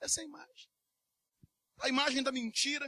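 A man speaks in a raised, projected voice at an extremely high pitch, his bright, sharp tone held to a flat monotone in a dry, close recording with no echo. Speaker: preacher. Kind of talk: sermon. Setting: church. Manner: earnest, urgent preaching, with direct appeals to the congregation.

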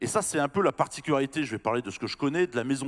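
Against a quiet background, a man's medium-pitched voice makes very wide pitch swings. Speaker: employment center head; panelist. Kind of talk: panel discussion. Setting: stage with audience. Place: hall. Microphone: handheld.

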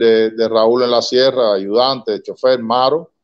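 In a quiet background, a man speaks at a fairly slow pace with a medium pitch. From Cuba, Havana; Cuba. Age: 60s. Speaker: son of a revolutionary commander; interview guest. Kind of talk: interview. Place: home room. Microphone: video call.

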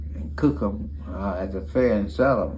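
A man with an East Texas accent has a very deep, low pitch and makes very wide pitch swings over light background noise. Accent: Southern US (East Texas). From Beaumont, Texas. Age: 80s+. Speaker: grandfather telling family history. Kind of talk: interview answer. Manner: halting, hesitant. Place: home room. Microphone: phone near.

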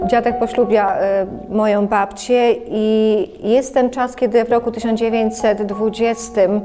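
A woman's fairly high, monotone, flat voice at a fairly slow pace, with clear music in the background. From Lublin, Poland. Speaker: oral history interviewee. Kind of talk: oral history interview answer. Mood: reflective, wistful. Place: home room.

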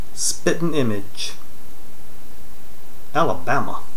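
Speaking at a very slow pace, a man uses ordinary pitch variation. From North Carolina, USA. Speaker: accent tag participant. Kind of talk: accent tag word list and answers. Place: home room. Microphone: webcam.

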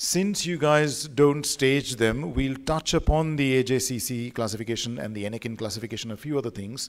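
Quiet surroundings, a man's voice, a moderate pace and ordinary pitch variation. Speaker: visiting radiology lecturer. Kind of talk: lecture. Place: hall. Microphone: podium.

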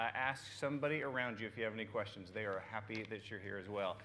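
Against light background noise, a man's bright, sharp voice moves through very wide pitch swings. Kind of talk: welcome and announcements. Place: church.

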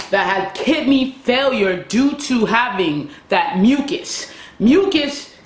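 Amid light background noise and audible room echo, a woman with a high pitch speaks at a very slow pace. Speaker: self-improvement vlogger. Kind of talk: casual vlog chat. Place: home room.

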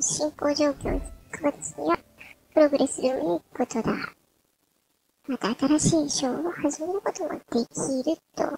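A woman's high, dark and mellow voice with lively intonation, at a moderate pace with long, frequent pauses, in a dry, close sound with no echo. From Kansai. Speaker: gamer. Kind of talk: reading on-screen text.

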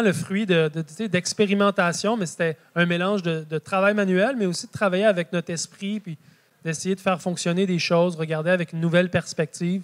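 A man with a Quebec accent speaks at a fairly quick pace in a high voice, his intonation fairly even. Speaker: market gardener and author. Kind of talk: public talk.

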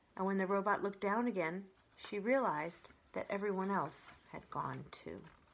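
The text is read aloud plainly, the intonation staying fairly even.

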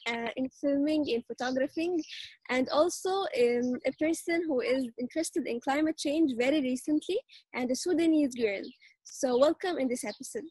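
A high-pitched woman's voice with a dark, mellow tone and ordinary pitch variation comes through dry with no echo over a quiet background. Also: moderate pace. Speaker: show anchor. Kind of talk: casual interview hosting. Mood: cheerful, friendly. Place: garden. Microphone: video call.

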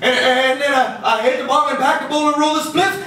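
A man speaks at an extremely high pitch in an animated, playful tone, his voice raised and projected with ordinary pitch variation. Audible room echo and light background noise surround him. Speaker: poet performing his own poem. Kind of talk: spoken-word poetry performance, rhythmic rhymed storytelling with audience laughter. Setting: live in front of an audience at a bar venue. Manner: animated, playful, rhythmic delivery, cheeky and laughing at his own jokes; jokey, upbeat and sing-song, switching into character voices for the dialogue. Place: stage.

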